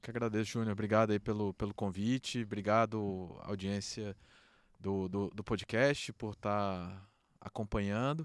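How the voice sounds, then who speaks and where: A man's fairly low voice at a fairly slow pace with fairly even intonation, dry and close with no echo, on a very clean recording with a silent background. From Brazil, Brasília. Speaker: beer industry association president. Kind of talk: podcast interview. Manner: casual, filler-heavy.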